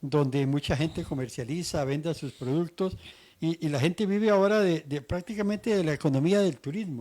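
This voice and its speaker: Over a silent background in a very clean recording, a dark, mellow voice moves at a fairly quick pace with lively intonation. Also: man, fairly high pitch for a man. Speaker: radio host. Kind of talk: interview; promotional pitch.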